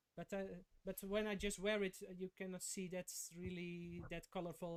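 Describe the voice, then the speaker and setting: A man speaks in a high pitch. His intonation is monotone and flat. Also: dry, close sound with no echo. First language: not English. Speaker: watch collector. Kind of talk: casual chat. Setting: livestream. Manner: halting.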